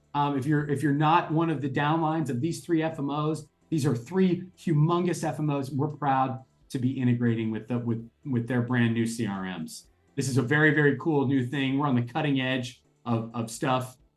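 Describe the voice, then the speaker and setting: A man's fairly high-pitched voice with ordinary pitch variation over music in the background. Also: moderate pace. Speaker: company president giving keynote. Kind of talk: keynote speech to online audience. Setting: online call. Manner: animated; loud.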